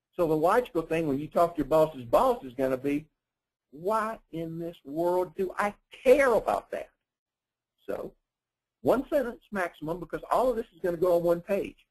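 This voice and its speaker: A man with a high-pitched voice and lively intonation speaks with long, frequent pauses. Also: moderate pace. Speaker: webinar speaker, risk management consultant. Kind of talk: webinar presentation. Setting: online webinar.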